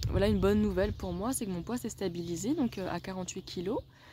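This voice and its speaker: A woman at a medium pitch talks at a fairly quick pace with lively intonation. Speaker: wellness vlogger. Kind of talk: video diary. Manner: animated.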